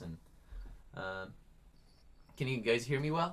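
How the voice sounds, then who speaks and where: A man talks at a moderate pace. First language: Farsi. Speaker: singer-songwriter. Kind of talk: casual introduction before performance. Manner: halting.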